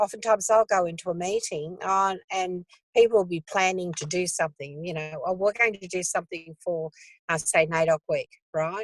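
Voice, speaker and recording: A woman with an Australian accent, medium pitch and fairly even intonation, in a dry, close sound with no echo. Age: 70s. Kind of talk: casual interview conversation. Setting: video call from a car.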